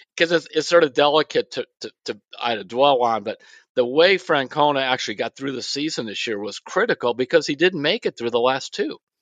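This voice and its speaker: A normal speaking voice moves at a fairly quick pace. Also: man, fairly high pitch for a man, ordinary pitch variation. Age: 60s. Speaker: sports columnist. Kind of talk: casual chat.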